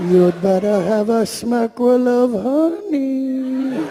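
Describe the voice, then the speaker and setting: Put-on character voice at a fairly high pitch, fairly slow pace, with clear background noise. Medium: stage play. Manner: gentle, polite.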